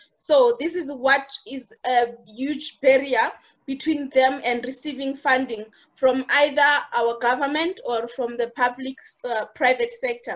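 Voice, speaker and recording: Speaking with a South African accent, a woman keeps a high pitch and fairly even intonation. Her pace is fairly slow. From South Africa, Limpopo village. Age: 30s. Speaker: internal auditor and entrepreneur. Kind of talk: interview.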